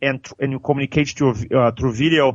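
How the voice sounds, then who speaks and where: Fairly quick speech from a man with a Brazilian accent, medium pitch and fairly even intonation. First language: Portuguese. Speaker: public speaking coach, trainer. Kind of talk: podcast interview answer.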